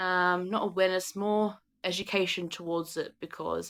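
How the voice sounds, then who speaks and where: A woman with an Australian accent speaks at medium pitch with fairly even intonation on a very clean recording with a silent background. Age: 20s. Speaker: YouTuber. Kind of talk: casual chat. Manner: halting.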